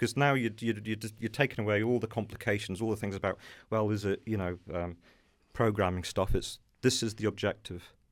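Recorded very cleanly against a silent background, a man with an English accent speaks at a fairly low pitch with fairly even intonation. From England, Norfolk. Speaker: kitchen and bathroom retail business owner. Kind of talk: interview. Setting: studio.

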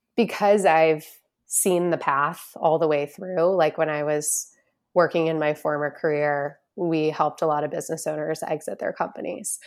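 A woman's very deep, low voice with an American accent and fairly even intonation, in a very clean recording with a silent background. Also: moderate pace. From US Northeast, Boston area. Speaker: financial planner, business founder. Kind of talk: podcast interview.

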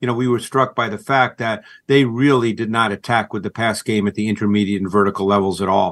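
Against a quiet background, a man with a plain, everyday voice speaks at a medium pitch. His pace is fairly quick and his intonation fairly even. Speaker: football film analyst. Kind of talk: sports radio interview.

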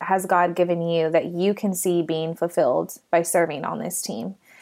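This woman has an ordinary speaking voice, medium in pitch, with an American accent. She talks at a fairly slow pace with fairly even intonation on a very clean recording with a silent background. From Texas. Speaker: nonprofit founder. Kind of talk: casual interview chat.

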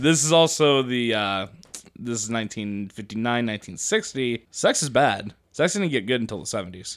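At a moderate pace, a man uses an ordinary speaking voice with medium pitch and lively intonation. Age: 20s. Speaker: podcast co-host. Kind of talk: casual chat.

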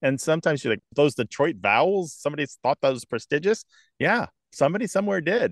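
A man talks very fast at a fairly high pitch, his voice swinging very widely up and down. The sound is dry and close, with no echo. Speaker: lexicographer and radio host. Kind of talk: interview. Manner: articulate.

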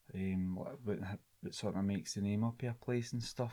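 A man with a strong Scottish accent speaks in a dark, mellow tone, fairly low in pitch with ordinary pitch variation. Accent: broad Scottish. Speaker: linguistics student. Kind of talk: casual chat.

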